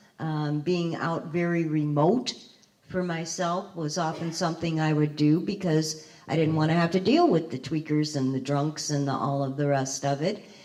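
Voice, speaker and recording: A woman speaks in a very deep, low pitch over noticeable background noise. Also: fairly even intonation, moderate pace. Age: 60s. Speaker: formerly homeless panelist. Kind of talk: panel discussion.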